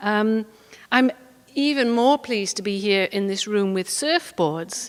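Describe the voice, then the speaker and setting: With a Welsh accent, a woman with a fairly high pitch speaks fairly slowly, her intonation lively. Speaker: poet. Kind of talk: talk with poetry reading. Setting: stage with audience. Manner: hesitant with many fillers.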